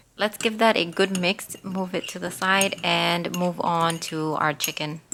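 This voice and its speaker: A woman with a non-native accent speaks at a fairly slow pace, her fairly low voice holding a fairly even intonation. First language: not English. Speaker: cooking channel host. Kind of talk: cooking tutorial.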